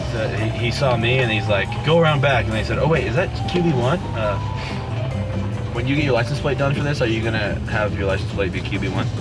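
Loud music plays in the background as a man speaks. His pace is fairly quick, with ordinary pitch variation. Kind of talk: casual banter. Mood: joking, teasing. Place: car. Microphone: camera far.

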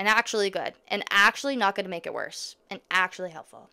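A woman talks very fast in a bright, sharp tone. The background is quiet. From Ontario, Canada. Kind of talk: casual vlog monologue. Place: home room. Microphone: studio mic.

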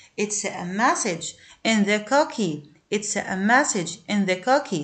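The woman's pitch moves through very wide swings. She talks fairly slowly. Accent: Egyptian. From Egypt. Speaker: English teacher. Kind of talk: lesson for primary school pupils. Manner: repetitive, slow drilling.

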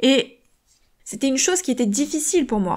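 The speaker is a woman with lively intonation. Her pace is moderate. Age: 30s. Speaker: podcast host and author. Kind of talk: motivational solo podcast talk.

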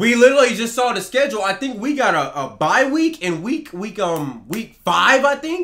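A man with an American accent talks at a moderate pace with hardly any pauses, in an extremely high pitch with very wide pitch swings. His tone is bright and sharp. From Texas. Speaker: sports gaming YouTuber. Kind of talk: angry rant about video game player ratings. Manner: heated, exasperated and repetitive, hammering the same complaint. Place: home room.

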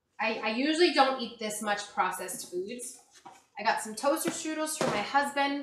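With noticeable background noise behind her, a woman speaks at a moderate pace in a high pitch with lively intonation. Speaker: vlogger. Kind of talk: casual vlog chat. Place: kitchen. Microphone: camera far.

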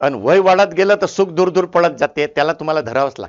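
A fairly high-pitched male voice with vocal fry and lively intonation. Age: 70s. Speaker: motivational speaker. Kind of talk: motivational talk.

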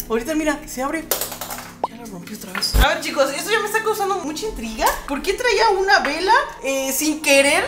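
Noticeable noise sits behind a voice that moves at moderate speed. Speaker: content creator. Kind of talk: casual vlog chat.

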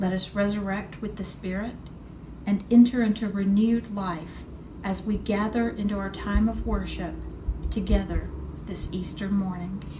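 Noticeable background noise sits behind the voice. A woman talks at a moderate pace. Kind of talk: liturgical reading. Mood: calm, solemn. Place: home room.

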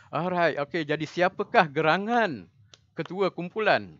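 Lively intonation at a moderate pace comes through in a dry, close sound with no echo. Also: man. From Terengganu, Malaysia. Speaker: lecturer, workshop trainer. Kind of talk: online workshop facilitation. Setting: video call. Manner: hesitant, many fillers.

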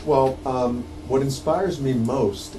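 There is noticeable background noise as a man talks at a medium pitch. His pitch varies in an ordinary way. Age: 50s. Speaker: documentary filmmaker; guest. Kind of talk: radio interview. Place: studio.

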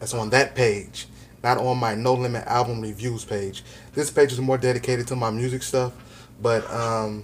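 Light background noise sits behind a man speaking at a moderate pace. His intonation is monotone and flat. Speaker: real estate vlogger. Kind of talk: casual vlog chat. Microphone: phone near.

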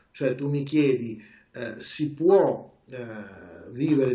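The recording has audible room echo but a quiet background. A man speaks very slowly with fairly even intonation. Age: 40s. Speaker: trader; interviewee. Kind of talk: interview. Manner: halting. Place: home room. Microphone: video call.

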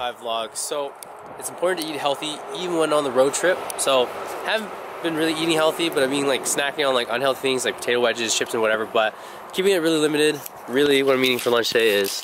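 Talking at a very fast pace with ordinary pitch variation, a man comes through a dry sound with no echo amid noticeable background noise. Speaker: vlogger. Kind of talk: casual vlog chat. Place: beach. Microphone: phone near.

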